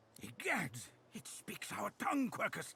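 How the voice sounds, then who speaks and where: A man puts on a character voice, speaking high in pitch at a moderate pace. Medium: video game. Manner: pompous, fussy, old-fashioned exclamations.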